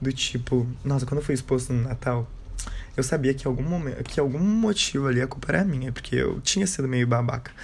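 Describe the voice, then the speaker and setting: A man's somewhat breathy, medium-pitched voice at a fairly quick pace, with very even loudness and ordinary pitch variation. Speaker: podcaster. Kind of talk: casual monologue.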